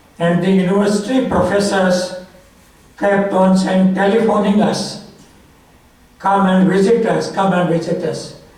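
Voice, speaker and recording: Amid noticeable background noise and audible room echo, a man with a high pitch speaks at a moderate pace in a monotone, flat intonation. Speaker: author speaking at a memorial. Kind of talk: memorial tribute speech.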